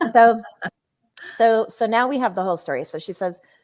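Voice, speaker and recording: A woman speaks at a fairly quick pace in an animated tone with ordinary pitch variation, on a very clean recording with a silent background. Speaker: co-founder of a women's media company, live show host. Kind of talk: casual live stream chat. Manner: loud.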